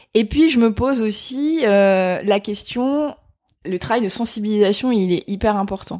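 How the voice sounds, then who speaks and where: Speaking at a fairly slow pace, a woman with a medium pitch uses ordinary pitch variation. The recording is very clean, with a silent background. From France, Vosges. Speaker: sustainability trainer. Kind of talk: interview. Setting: in person. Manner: hesitant, many fillers.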